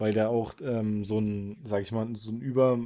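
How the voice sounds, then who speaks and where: A man speaks at a moderate pace with a dark, mellow tone and a medium pitch. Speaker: podcast co-host, fantasy fan. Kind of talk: casual chat.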